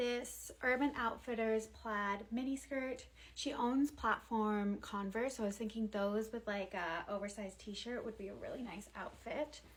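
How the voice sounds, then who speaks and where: A woman talks at a fairly slow pace with hardly any pauses, over noticeable background noise. Her pitch is fairly high, with ordinary variation. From England. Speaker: lifestyle vlogger. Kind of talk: casual haul video. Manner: casual, filler-heavy.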